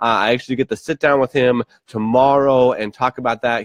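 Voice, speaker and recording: Heard with a dry, close sound, no echo, and a quiet background, a man at medium pitch speaks at a fairly quick pace in an ordinary speaking voice. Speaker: leadership vlogger. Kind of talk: casual vlog monologue.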